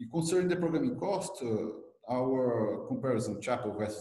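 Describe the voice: A man at medium pitch with a dark, mellow tone, in audible room echo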